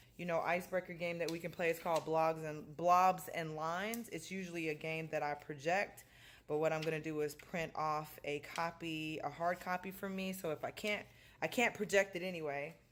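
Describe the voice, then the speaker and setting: A woman's voice sits at a fairly low pitch with fairly even intonation. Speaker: high school science teacher. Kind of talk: casual vlog. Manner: fast.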